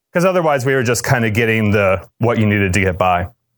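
The speaker is a man. He has an ordinary speaking voice. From Cape Cod, Massachusetts. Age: 40s. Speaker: DJ and businessman. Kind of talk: conference lecture.

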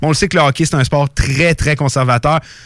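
A man with a Quebec accent, fairly high in pitch, talking very fast with ordinary pitch variation, the sound dry and close with no echo. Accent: Québécois French. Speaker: radio sports show host. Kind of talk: hockey talk radio panel. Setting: radio studio.

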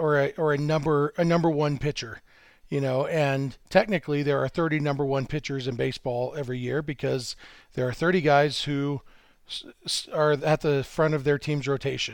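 The speaker is a man. He talks at a moderate pace on a very clean recording with a silent background. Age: 40s. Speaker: baseball writer. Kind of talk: casual chat.

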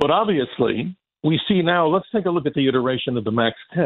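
Very wide pitch swings mark a man's speech. He goes at a fairly quick pace. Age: 60s. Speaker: space expert and radio broadcaster. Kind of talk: casual chat.

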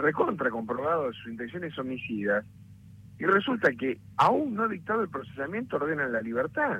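This man speaks at a moderate pace in a fairly high pitch, his voice swinging very widely up and down. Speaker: lawyer. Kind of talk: interview.

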